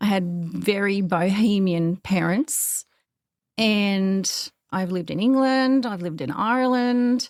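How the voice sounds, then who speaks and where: Recorded very cleanly against a silent background, a woman talks at a fairly slow pace with a medium pitch and ordinary pitch variation. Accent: Australian. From Australia. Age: 50s. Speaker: podcaster and author. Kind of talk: interview. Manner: energetic.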